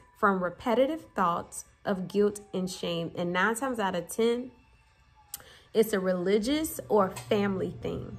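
Faint music plays in the background as a woman talks at a fairly slow pace. Her pitch shows ordinary variation. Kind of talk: casual vlog chat. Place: kitchen. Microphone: phone near.

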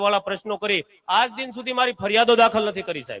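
Projecting a raised voice, a man speaks at a high pitch with a bright, sharp tone and fairly even intonation, the sound dry and close with no echo. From Gujarat, Saurashtra (Bhavnagar district village). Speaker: villager making a complaint. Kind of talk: public statement to press and gathering.

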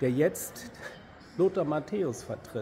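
The speaker is a man. Light noise sits in the background. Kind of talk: casual vlog chat. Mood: agitated, indignant. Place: street. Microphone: phone near.

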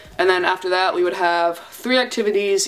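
Using a normal speaking voice, a woman talks at a fairly quick pace and a fairly low pitch. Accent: American. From US, Delaware. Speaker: YouTuber. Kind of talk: vlog-style casual monologue. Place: home room. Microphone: phone near.

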